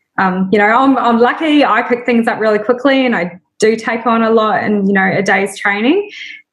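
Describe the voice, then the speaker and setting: With a New Zealand accent, a fairly high-pitched woman speaks with hardly any pauses and ordinary pitch variation. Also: moderate pace. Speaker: small business founder. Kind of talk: casual interview. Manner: hesitant fillers.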